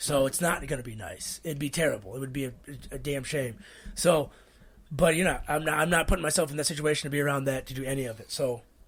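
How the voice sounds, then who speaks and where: On a very clean recording with a silent background, a man speaks very fast at a fairly high pitch, somewhat breathy, with ordinary pitch variation and big swings in loudness. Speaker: podcast co-host. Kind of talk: casual chat. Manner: halting, repeats words.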